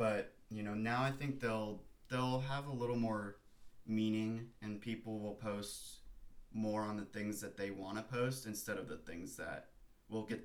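Room echo can be heard. The pace is medium, and the pitch moves in a normal way. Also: man. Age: 20s. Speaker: surfer and photographer. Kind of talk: casual chat.

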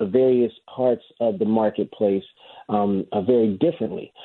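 This man keeps a moderate pace. His pitch varies in an ordinary way. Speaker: professor. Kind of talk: radio interview. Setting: radio studio call-in. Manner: hesitant with many fillers.

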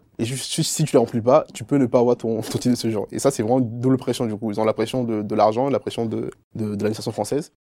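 A man speaks at a very fast pace in a dark, mellow tone. His intonation stays fairly even. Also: medium pitch for a man, very clean recording, silent background. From Ivory Coast. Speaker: engineering student. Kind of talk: testimony. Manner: halting, many fillers and repetitions.

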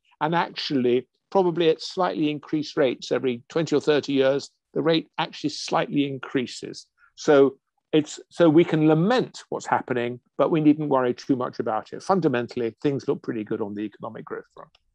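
With an English accent, a man talks at a fairly quick pace in a fairly high pitch, with ordinary pitch variation. His loudness swings widely, and the sound is dry and close with no echo. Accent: English (RP-leaning). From England. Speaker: biochemistry professor. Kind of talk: interview conversation.

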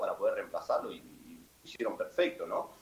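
The pace is moderate. The speaker is a man. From Argentina. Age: 30s. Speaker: football player. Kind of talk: casual interview. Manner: halting, repetitive.

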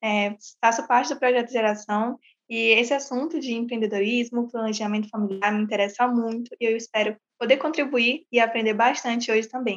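Her pace fairly quick, a woman talks with fairly even intonation. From São Luís, Maranhão, Brazil. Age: young. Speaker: youth project participant. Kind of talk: casual chat.

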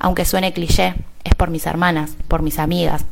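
A woman speaks in a monotone with flat intonation. Her pitch is fairly low, and her pace is moderate. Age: 30s. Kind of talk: personal testimony.

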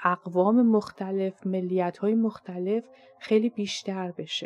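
In a plain, everyday voice, a woman talks at a medium pitch with fairly even intonation. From Iran. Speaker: podcast host and Persian language teacher. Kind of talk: scripted monologue.

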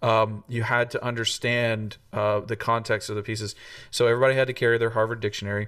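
A man rattles along at a very fast pace, his medium pitch held in a monotone, flat intonation. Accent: American. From US South, Tennessee. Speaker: trombonist and music professor. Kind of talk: casual interview conversation. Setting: video call.

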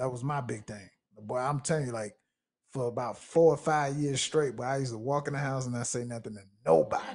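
Speaking at a fairly quick clip, a man with a medium-pitched, somewhat breathy voice shows ordinary pitch variation. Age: 20s. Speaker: podcast host. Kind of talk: casual chat.

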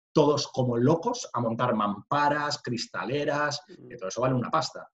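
The man's voice carries a slight breathiness, and his pitch moves in an ordinary way. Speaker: construction business owner. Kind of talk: interview conversation.

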